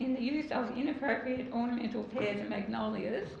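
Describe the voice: A woman speaks at a high pitch with vocal fry. Audible room echo surrounds her voice.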